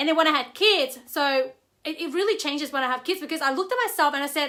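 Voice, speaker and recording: A woman speaks very fast in a raised, projected voice, her tone bright and sharp, her pitch high and her intonation lively, on a very clean recording with a silent background. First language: not English. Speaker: network marketer. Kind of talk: livestream talk. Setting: live video stream.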